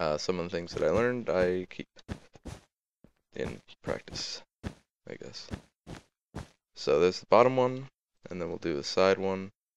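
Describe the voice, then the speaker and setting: A man at a moderate pace, with long, frequent pauses and big swings in loudness. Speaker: gaming tutorial video maker. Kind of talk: tutorial. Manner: hesitant with fillers.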